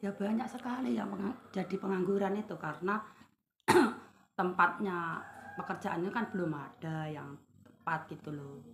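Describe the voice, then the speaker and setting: A woman with a plain, everyday voice talks at a moderate pace, her medium pitch carried by lively intonation. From Indonesia, East Java (Tulungagung). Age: 50s. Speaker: small market trader. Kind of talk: interview.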